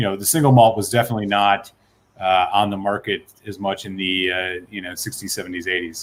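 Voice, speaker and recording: In an ordinary speaking voice, a man talks at a fairly quick pace with fairly even intonation and big swings in loudness. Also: fairly low pitch for a man. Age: 30s. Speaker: whisky reviewer. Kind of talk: casual chat.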